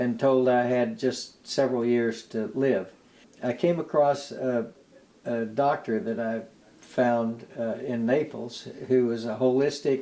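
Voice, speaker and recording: Speaking at a very slow pace with an American accent, a man has a dark, mellow tone, a medium pitch and ordinary pitch variation. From United States. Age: 80s+. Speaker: retired lawyer, blood donor and author. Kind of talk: interview. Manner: halting.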